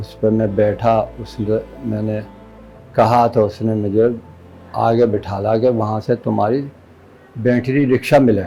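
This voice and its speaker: Music plays in the background while a man speaks with long, frequent pauses. His pitch is fairly low and his intonation fairly even. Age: 60s. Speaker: assault victim. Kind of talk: interview answer.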